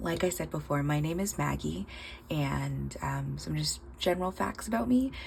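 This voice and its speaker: Noticeable background noise surrounds a woman talking at a moderate pace. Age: 30s. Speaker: budgeting vlogger, nail tech. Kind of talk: casual vlog monologue. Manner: hesitant, many fillers.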